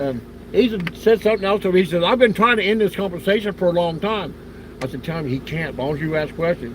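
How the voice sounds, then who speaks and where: Against noticeable background noise, a man with an American accent speaks at a very fast pace and a high pitch, with lively intonation. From Ohio. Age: 70s. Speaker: outdoors channel streamer. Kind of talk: casual chat. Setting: live stream.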